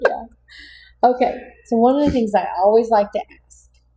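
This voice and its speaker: A woman speaks in a Texas accent with a dark, mellow tone. Her voice is somewhat breathy. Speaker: podcast host. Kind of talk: casual interview.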